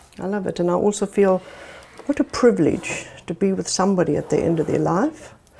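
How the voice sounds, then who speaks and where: The woman's voice, medium in pitch, is heard with noticeable background noise. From South Africa. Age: 60s. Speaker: live-in carer. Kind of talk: testimony.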